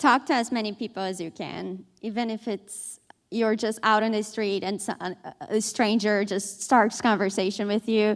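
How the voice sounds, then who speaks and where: Fairly even intonation at a moderate pace, with a Portuguese accent. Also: woman, fairly high pitch for a woman. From Brazil. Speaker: newspaper reporter. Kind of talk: panel discussion.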